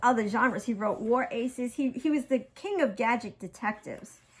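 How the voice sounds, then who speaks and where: A woman with a Brooklyn accent talks at a moderate pace in an animated tone. Her pitch is high, with ordinary variation. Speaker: craft artist showing her handmade journals. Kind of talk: casual show-and-tell chat.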